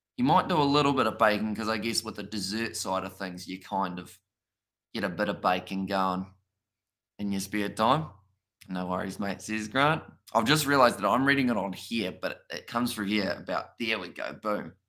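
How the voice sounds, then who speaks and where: A man speaks with a New Zealand accent, his tone bright and sharp at a fairly low pitch. The recording is very clean, with a silent background. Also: ordinary pitch variation, moderate pace. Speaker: streamer interviewer. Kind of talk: casual chat on live stream.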